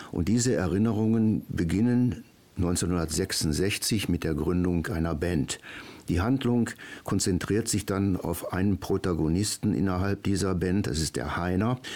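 This man's pitch is very deep and low, and his tone is dark and mellow. He keeps his loudness very even and talks at a fairly slow pace. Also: ordinary pitch variation. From Germany, Ruhr area (Duisburg). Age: 70s. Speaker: author and retired school principal. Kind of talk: radio interview. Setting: radio studio.

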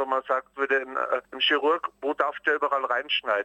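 Noticeable background noise sits under a man's voice, which has a dry, close sound with no echo. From Austria. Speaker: cabaret artist. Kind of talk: interview. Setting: phone call.

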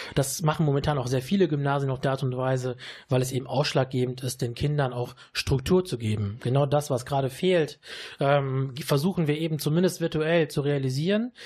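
Against a quiet background, a man talks at a moderate pace in a fairly high, somewhat breathy voice. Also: ordinary pitch variation. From Düsseldorf, Germany (born in Sicily). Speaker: teacher. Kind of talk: radio interview. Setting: studio.

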